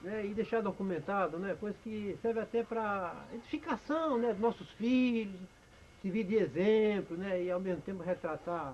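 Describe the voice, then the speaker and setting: Moderate pace from a man with a high pitch and ordinary pitch variation. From Brazil, Ceará (Cariri region). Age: 70s. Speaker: elderly storyteller recounting memoirs. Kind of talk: personal memoir monologue. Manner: halting, many fillers.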